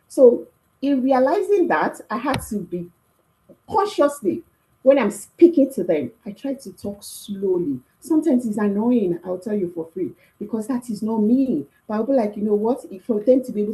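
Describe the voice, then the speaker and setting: A woman's fairly high, somewhat breathy voice with a dark, mellow tone, very wide pitch swings, big swings in loudness and a moderate pace. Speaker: career workshop speaker. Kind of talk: talk. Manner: animated.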